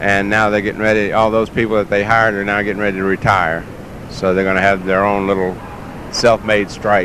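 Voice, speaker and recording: With a Southern US accent, a man speaks at a fairly quick pace in a flat monotone over noticeable background noise. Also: fairly low pitch for a man. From US South, Mississippi Gulf Coast. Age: 60s. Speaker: dog show handler, former air traffic controller. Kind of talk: interview. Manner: hesitant, many fillers.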